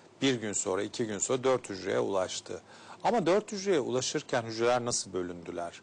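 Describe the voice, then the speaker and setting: A man at a fairly quick pace with a medium pitch. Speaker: gynecologist and fertility specialist. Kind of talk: TV health interview. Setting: studio. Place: studio. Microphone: lapel.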